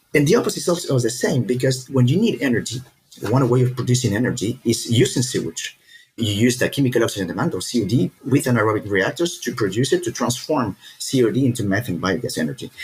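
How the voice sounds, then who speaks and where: A man speaks at a very fast pace in a medium pitch, his voice somewhat breathy and his intonation lively. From Peru. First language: Spanish. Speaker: startup founder, engineer. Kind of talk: podcast interview.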